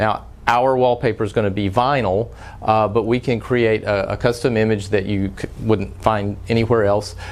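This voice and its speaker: A man with a Texas accent speaks at a moderate pace in a fairly low pitch, keeping his intonation fairly even. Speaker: frame shop owner. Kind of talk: tutorial. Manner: frequent filler words, some halting.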